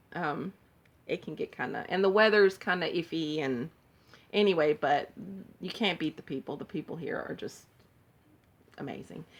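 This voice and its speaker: With a fairly low pitch, a woman speaks with long, frequent pauses and big swings in loudness. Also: ordinary pitch variation, moderate pace. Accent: slight Southern US. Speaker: cross-stitch vlogger. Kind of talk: casual show-and-tell vlog. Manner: chatty, rambling with fillers.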